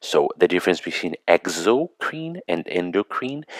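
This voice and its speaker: Recorded dry and close with no echo, a man speaks at a moderate pace with lively intonation. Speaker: medical school lecturer. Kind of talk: lecture review. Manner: hesitant, many fillers.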